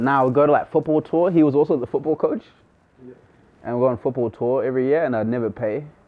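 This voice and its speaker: A man with a New Zealand accent, fairly high-pitched, talking at a very fast pace. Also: ordinary pitch variation. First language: not English. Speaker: rapper. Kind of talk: casual chat. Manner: animated.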